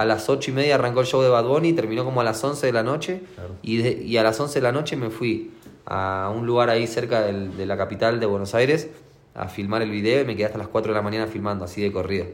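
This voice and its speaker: The speech comes very fast with ordinary pitch variation. Room echo is audible. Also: man, medium pitch for a man. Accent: Rioplatense. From Argentina. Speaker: trap and reggaeton artist. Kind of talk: interview.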